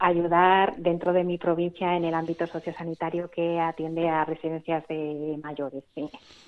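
An unremarkable speaking voice from a woman, fairly low in pitch, at a fairly slow pace. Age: 40s. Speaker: nun and nurse. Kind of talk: radio interview testimony.

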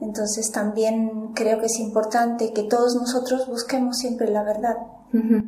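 In a room with audible echo and noticeable background noise, a woman speaks at a fairly high pitch, fairly slowly, in a monotone, flat way. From Peru. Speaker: missionary worker. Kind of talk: radio interview.

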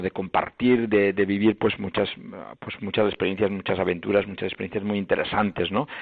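A man's fairly low voice, flat and monotone in its intonation. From Mallorca, Spain. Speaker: bishop. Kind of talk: interview. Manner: halting, with many repetitions.

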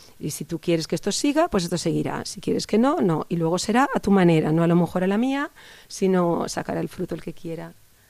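Her tone dark and mellow, a woman talks fairly quickly with lively intonation. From Spain, Barcelona (Catalonia). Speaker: parish youth volunteer. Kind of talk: radio interview. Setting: studio.

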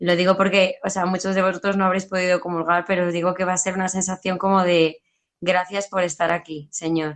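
This woman talks at a fairly quick clip, her medium pitch held in a flat, monotone delivery. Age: 30s. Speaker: PE and religion teacher. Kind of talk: testimony.

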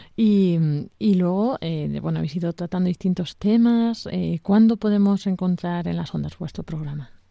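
Hardly pausing, a woman talks in a fairly low voice with a dark, mellow tone and ordinary pitch variation. The recording is very clean, with a silent background. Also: fairly slow pace. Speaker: radio host. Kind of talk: radio program hosting.

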